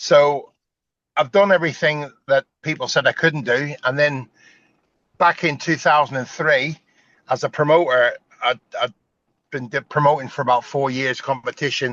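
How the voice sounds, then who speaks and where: A man with a Northern Irish accent talks at a moderate pace with fairly even intonation. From Northern Ireland. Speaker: strongman competition promoter, former strongman. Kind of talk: interview. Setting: sitting in a car.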